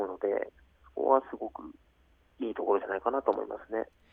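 Words come out at a very fast pace. The voice belongs to a man. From Japan, Aichi Prefecture. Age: 30s. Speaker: professional basketball player. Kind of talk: radio interview. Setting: phone call.

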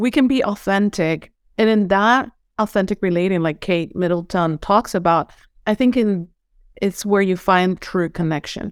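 A woman speaks in a Venezuelan accent at a moderate pace, with ordinary pitch variation. Her loudness stays very even, and the sound is dry and close with no echo. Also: medium pitch for a woman, very clean recording, silent background. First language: Spanish. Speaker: holistic coach. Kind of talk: casual interview. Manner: enthusiastic.

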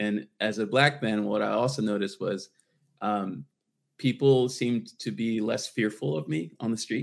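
A man speaks at a moderate pace with ordinary pitch variation. His fairly low voice carries vocal fry. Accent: American. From Washington, D.C. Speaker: startup founder, former radio professional. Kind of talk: casual panel interview. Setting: remote video call.

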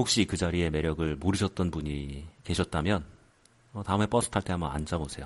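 Over a quiet background, a man with a very deep, low pitch talks at a fairly quick pace with ordinary pitch variation. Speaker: podcast host. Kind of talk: casual monologue. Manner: quiet, soft-spoken.

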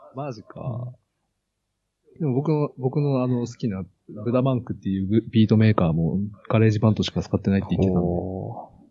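Music plays behind a man who speaks at a fairly quick pace with ordinary pitch variation and long, frequent pauses. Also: medium pitch for a man. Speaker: software developer and hobby guitarist. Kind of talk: casual chat. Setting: Skype call. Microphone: new cheap mic at max volume, fairly quiet.

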